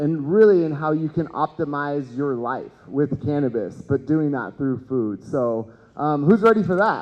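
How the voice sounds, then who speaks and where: This man speaks at a fairly slow pace. His intonation is lively. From Texas, Houston. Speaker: cannabis educator and event host. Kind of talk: conference talk. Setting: stage with audience. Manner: loud; animated.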